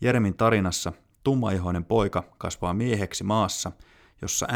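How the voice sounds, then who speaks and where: The recording is very clean and the background silent. A man's voice sits at a very deep, low pitch. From Finland. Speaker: podcast host. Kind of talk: scripted narration. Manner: formal.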